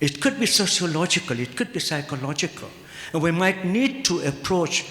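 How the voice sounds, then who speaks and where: The intonation is lively at a moderate pace. Noticeable background noise is audible. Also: man. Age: 70s. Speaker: Islamic ethics professor. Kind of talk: conference panel discussion.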